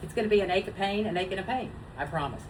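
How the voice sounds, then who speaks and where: A woman moves at a fairly quick pace, her voice carrying audible room echo. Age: 60s. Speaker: web show co-host. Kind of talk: casual chat.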